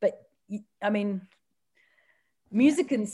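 On a very clean recording with a silent background, a woman speaks at a moderate pace. She has an Australian accent. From Australia, Newcastle. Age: 30s. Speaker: comedian and author. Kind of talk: casual chat. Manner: animated.

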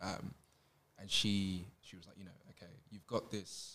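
A fairly low-pitched man's voice with a bright, sharp tone and a London accent. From Southeast London, Catford. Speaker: writer. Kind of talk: school presentation.

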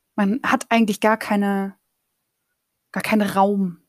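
A woman at a fairly slow pace and medium pitch, with music in the background and a dry, close sound with no echo. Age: 30s. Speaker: podcaster and master's student. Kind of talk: casual solo monologue. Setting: home office. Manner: very colloquial, laughing often.

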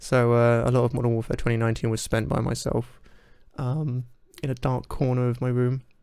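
Mumbled words in a monotone, flat intonation. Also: man, medium pitch for a man. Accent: British. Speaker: podcast host. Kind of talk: casual interview. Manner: self-described mumbler.

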